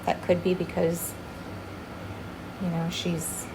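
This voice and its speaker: A soft-spoken woman talks at a moderate pace. Noticeable background noise and audible room echo are present. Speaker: chameleon breeder. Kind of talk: tutorial. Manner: casual.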